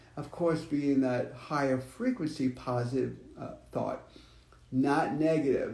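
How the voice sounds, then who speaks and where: A man with a dark, mellow tone and a somewhat breathy quality speaks at a fairly high pitch and a very slow pace. His intonation stays fairly even, and audible room echo surrounds him. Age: 50s. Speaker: psychic reader. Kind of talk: spiritual reading. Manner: conversational, halting.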